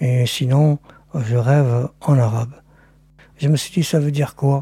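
A man with an Algerian accent speaks very slowly in a somewhat breathy, dark, mellow voice at a fairly high pitch, recorded dry and close with no echo. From Algeria, Oran. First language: Algerian Arabic (speaking French). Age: 60s. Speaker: interviewee, producer's father. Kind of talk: recorded interview.

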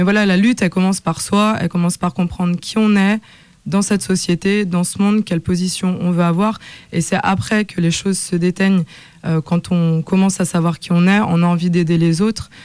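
A woman's medium-pitched voice at a fairly quick pace, monotone, flat intonation and very even loudness. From Lyon, France. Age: young. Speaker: MC and singer. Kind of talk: radio panel discussion.

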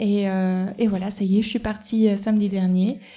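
A woman speaks fairly slowly at a medium pitch, her intonation monotone and flat. Her tone is dark and mellow, and somewhat breathy. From Ardèche, France. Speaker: cycling traveller documenting community spaces. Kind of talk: live interview. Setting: café, live before an audience.

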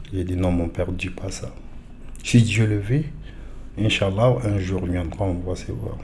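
Audible room echo surrounds a man with a very deep, low pitch. He speaks at a fairly slow pace with ordinary pitch variation and long, frequent pauses. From Mali. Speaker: French language learner. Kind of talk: personal testimony.

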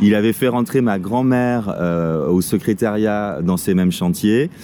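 A man speaking at a very slow pace with ordinary pitch variation, noticeable background noise behind him. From Paris region, France. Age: 40s. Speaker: local guide. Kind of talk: casual chat.

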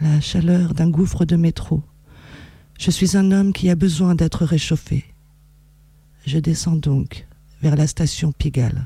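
Very slowly, a woman speaks in a somewhat breathy, dark and mellow tone at a fairly low pitch, with fairly even intonation, very even loudness, and long, frequent pauses. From France, Reims. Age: 40s. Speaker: poet and writer. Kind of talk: poetry reading. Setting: radio studio.

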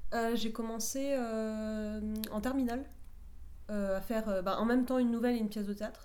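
With noticeable background noise and audible room echo, a woman speaks fairly high in pitch with monotone, flat intonation. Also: moderate pace. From southern France, Perpignan. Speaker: playwright and short story writer. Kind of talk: radio interview.

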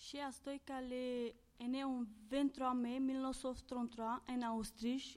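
Her voice is high for a woman and held in a monotone, flat intonation. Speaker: civic service volunteer. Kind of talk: reading aloud and interview. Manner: halting.

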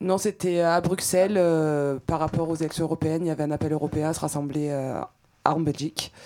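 The voice has a dark, mellow tone and monotone, flat intonation, moving at a fairly quick pace. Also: woman. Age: 20s. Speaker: executive assistant, protest activist. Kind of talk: testimony on community radio.

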